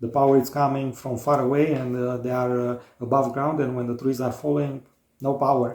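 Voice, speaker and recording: Speaking at a fairly quick pace, a man with a Romanian accent keeps a medium pitch and monotone, flat intonation. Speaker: DIY home builder, vlogger. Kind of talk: casual chat. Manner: halting, many fillers.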